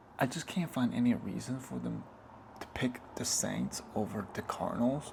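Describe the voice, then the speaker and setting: Against noticeable background noise, a soft-spoken man talks at a moderate pace. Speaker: ASMR creator. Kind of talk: ASMR soft-spoken sports talk.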